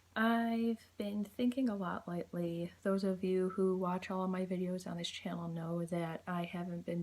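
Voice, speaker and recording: The voice is quiet and moves at a moderate pace. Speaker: YouTuber. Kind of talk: casual vlog monologue. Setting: at home at night.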